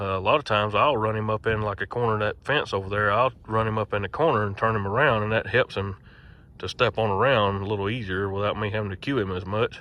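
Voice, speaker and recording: With a Southern US accent, a man talks at a very fast pace in a fairly low pitch with fairly even intonation. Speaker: mule logger and horse trainer. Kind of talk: tutorial.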